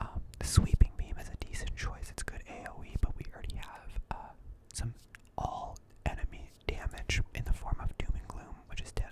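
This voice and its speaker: Someone is whispering at a moderate pace. There is noticeable background noise. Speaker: ASMR gaming content creator. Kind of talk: quiet whispered gaming commentary for sleep. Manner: quiet, whispered, relaxing.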